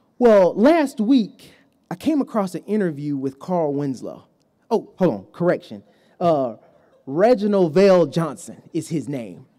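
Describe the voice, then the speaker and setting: On a very clean recording with a silent background, the speaker talks at a fairly slow pace. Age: 30s. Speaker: preacher. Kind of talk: sermon. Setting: church pulpit.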